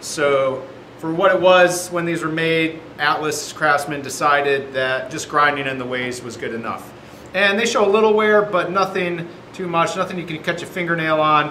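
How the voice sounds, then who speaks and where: Moderate pace and ordinary pitch variation, with audible room echo and light background noise. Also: man. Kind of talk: tutorial. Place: workshop.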